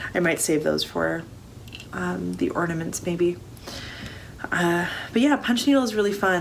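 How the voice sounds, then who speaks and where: The woman's voice sits at a fairly low pitch. Noticeable background noise runs behind her. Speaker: crafter, knitting vlogger. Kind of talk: casual talk to camera.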